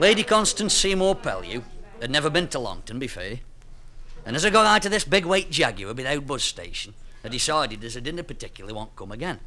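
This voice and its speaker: Talking at a very fast pace, a man with a Staffordshire Potteries accent uses a fairly high pitch with very wide pitch swings. His loudness rises and falls in big swings. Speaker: storyteller. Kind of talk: comic dialect story.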